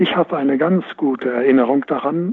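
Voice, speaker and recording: A fairly high-pitched man's voice at a moderate pace, with noticeable background noise. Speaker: former motorsport team manager. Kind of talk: casual chat.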